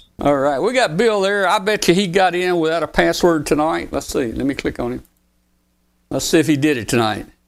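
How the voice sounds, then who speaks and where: Fairly quick and with lively intonation, the speech has a Southern US accent on a very clean recording with a silent background. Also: man, fairly high pitch for a man. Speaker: online show host. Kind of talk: casual chat.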